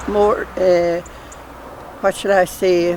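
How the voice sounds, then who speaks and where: A Kerry accent over noticeable background noise. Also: woman. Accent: Irish, Kerry. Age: 70s. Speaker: nun. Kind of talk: casual chat.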